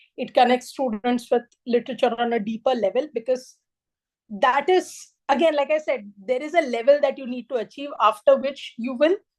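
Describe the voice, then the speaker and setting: Her voice is high for a woman, with ordinary pitch variation and a fairly quick pace. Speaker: teacher trainer. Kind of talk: lecture. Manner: hesitant with fillers (uh, um).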